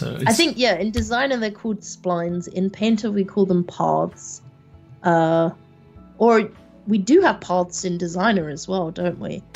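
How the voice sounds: Music plays behind a woman speaking at medium pitch. She talks at a fairly slow pace with ordinary pitch variation.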